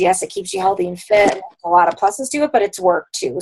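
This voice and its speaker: A woman speaks with ordinary pitch variation. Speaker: fitness coaching team leader. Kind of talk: team conference call. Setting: group call. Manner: fast.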